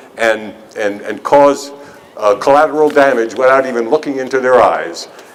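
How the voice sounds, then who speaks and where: Through clear background noise, a man talks in a fairly high pitch. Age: 70s. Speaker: activist speaker for a veterans' peace group. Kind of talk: rally speech. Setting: outdoors. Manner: halting.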